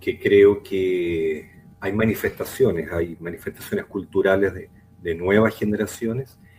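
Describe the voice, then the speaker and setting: Against noticeable background noise, a man talks at a fairly slow pace with fairly even intonation and big swings in loudness. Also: fairly low pitch for a man. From Chile, Arica (north). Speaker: psychologist and community advocate. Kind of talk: interview conversation. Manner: slow, deliberate.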